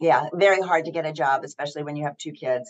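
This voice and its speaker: A woman with an American accent, very deep and low-pitched, with ordinary pitch variation. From US South. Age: 70s. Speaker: actress and athlete. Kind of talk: interview.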